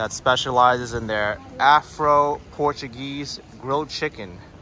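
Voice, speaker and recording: Against noticeable background noise, a man with an American accent speaks at a fairly slow pace with fairly even intonation. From New York, US. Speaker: food vlogger. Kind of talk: food review vlog. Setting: outdoors.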